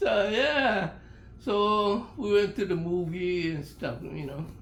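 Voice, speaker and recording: Very slowly, the speaker talks with lively intonation. Audible room echo and noticeable background noise come through. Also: man, high pitch for a man. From Hawaii (Honolulu, Oahu). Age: 90s. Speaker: elderly interviewee telling life stories. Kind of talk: oral history interview. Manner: halting, repeats words.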